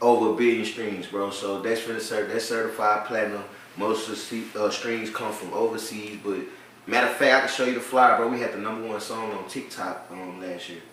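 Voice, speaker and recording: A man in a New Orleans accent, medium-pitched and monotone, with big swings in loudness, audible room echo and noticeable background noise. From New Orleans, Louisiana. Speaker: rapper. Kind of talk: casual interview chat.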